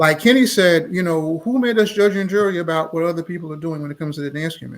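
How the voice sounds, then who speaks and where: Talking very fast with hardly any pauses, a man with an American accent and a high pitch shows big swings in loudness and ordinary pitch variation. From Baltimore, Maryland. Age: 60s. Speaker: dance instructor. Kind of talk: live interview. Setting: livestream.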